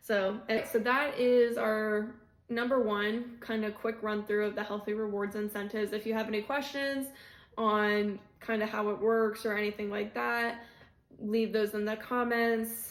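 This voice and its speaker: A woman at a fairly high pitch, monotone and flat in intonation, at a moderate pace. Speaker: video creator giving workplace benefits tips. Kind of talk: casual explainer video. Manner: breathless at times.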